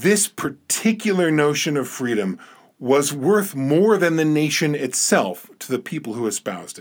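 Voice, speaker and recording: A man with a New Jersey accent at a fairly high pitch, very wide pitch swings and a moderate pace, in a very clean recording with a silent background. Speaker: podcast host. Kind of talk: reflective monologue. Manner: thoughtful, measured with hesitations.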